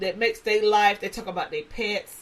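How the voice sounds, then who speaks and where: An animated woman with a Southern US accent. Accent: Southern US, country. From South Carolina. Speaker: podcast host. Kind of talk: casual monologue.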